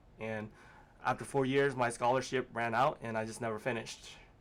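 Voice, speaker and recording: This is a man with a medium-pitched voice. The recording is very clean, with a silent background. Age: 30s. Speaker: former manufacturing worker. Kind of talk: interview. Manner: halting, many fillers.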